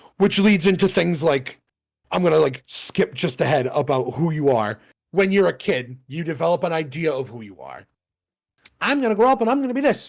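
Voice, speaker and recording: An animated man at a fairly high pitch with very wide pitch swings and a fairly quick pace, in a very clean recording with a silent background. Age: 30s. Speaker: podcast co-host. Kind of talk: casual chat.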